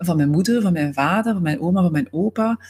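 A woman's somewhat breathy voice at a fairly low pitch. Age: 40s. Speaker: systemic coach. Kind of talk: podcast monologue.

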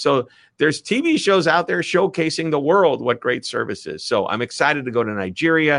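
A man talks at a moderate pace with a Midwestern US accent and lively intonation. His tone is animated and enthusiastic against a quiet background. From US Midwest. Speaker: author and speaker. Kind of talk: interview conversation. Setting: video call. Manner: animated, enthusiastic.

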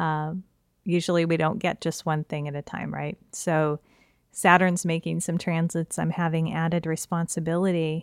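Recorded very cleanly with a silent background and a dry, close sound with no echo, a woman speaks at a moderate pace in a fairly low pitch with monotone, flat intonation. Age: 40s. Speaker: astrology podcaster. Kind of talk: solo podcast talk.

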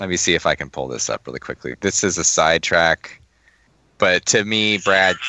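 A man speaks with a very deep, low pitch and vocal fry. He moves at a moderate pace, with long, frequent pauses. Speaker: podcast co-host. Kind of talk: casual chat.

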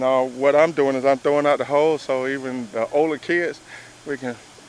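With a Southern US accent, a man speaks at medium pitch and fairly even intonation. Noticeable background noise runs behind him. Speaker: firefighter. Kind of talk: casual interview. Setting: outdoors.

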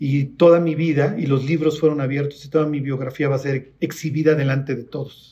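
A man speaks in a fairly high voice with fairly even intonation, a somewhat breathy quality and a dark, mellow tone. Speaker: preacher. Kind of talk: sermon with Bible teaching, Q&A and closing prayer. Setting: church. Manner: informal and conversational; teacherly.

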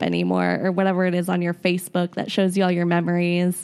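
Recorded very cleanly against a silent background, a woman speaks with an American accent. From Florida. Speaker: soccer supporter. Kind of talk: casual chat.

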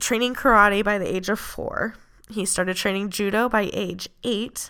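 Speaking at a fairly slow pace, a woman's voice shows vocal fry on a very clean recording with a silent background. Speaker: MMA podcast host. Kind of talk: solo podcast monologue. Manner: casual, frequent laughs.

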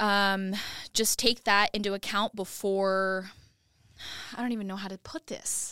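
A woman with a West Coast accent and a medium pitch speaks in a monotone, flat way at a fairly slow pace, with a bright, sharp tone, big swings in loudness, and long, frequent pauses, on a very clean, dry and close recording with no echo and a silent background. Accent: general American (West Coast). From US West Coast (Oregon). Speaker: TV news reporter. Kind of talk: casual interview.

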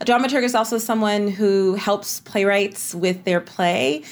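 An ordinary speaking voice in an American accent, its pitch varying in an ordinary way. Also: woman. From US South, East Texas. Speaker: playwright and drama professor. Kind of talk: interview conversation.

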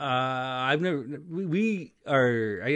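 He has an ordinary speaking voice, pitched at a medium level. Lively intonation runs through his speech. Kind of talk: casual chat.

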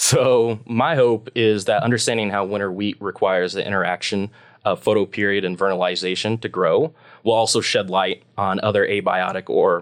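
This is a normal speaking voice. It carries an American accent. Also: man, very clean recording, silent background. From US Midwest, Nebraska. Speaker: PhD student researcher. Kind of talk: interview.

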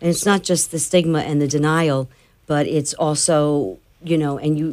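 A woman speaks with an American accent and a very deep, low pitch. The recording is very clean, with a silent background. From New Jersey. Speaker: nonprofit founder, bereaved mother. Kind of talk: interview. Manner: loud; blunt.

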